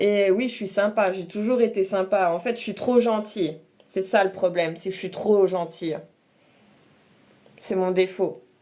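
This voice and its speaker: Long, frequent pauses mark a fairly slow pace. The tone is dark and mellow, with fairly even intonation. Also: woman, medium pitch for a woman. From eastern France, Alsace and Franche-Comté. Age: 30s. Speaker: makeup content creator. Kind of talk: casual livestream chat and makeup tutorial.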